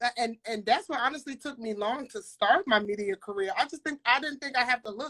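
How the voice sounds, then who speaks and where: This woman talks at a very fast pace with a New York accent and lively intonation. Her high-pitched voice has a bright, sharp tone and a dry, close sound with no echo. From Brooklyn, New York. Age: 20s. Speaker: interviewer. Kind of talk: interview.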